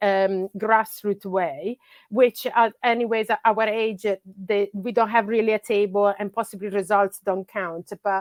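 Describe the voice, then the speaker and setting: A woman with an Italian accent, medium pitch and fairly even intonation, on a very clean recording with a silent background and a dry, close sound free of echo. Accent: Italian accent, noticeable. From Italy. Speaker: grassroots soccer coach. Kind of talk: podcast interview. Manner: halting, many fillers.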